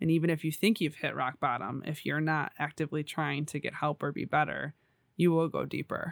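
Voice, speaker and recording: A woman's very deep, low voice with vocal fry and fairly even intonation, dry and close with no echo on a very clean recording with a silent background. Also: fairly quick pace. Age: 20s. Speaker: podcast guest, host's sister. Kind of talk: casual chat.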